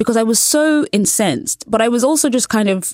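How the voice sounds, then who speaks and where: A woman speaks with a British accent at a fairly high pitch. Her intonation is lively and her pace moderate. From England. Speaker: culture journalist. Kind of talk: casual chat. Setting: studio.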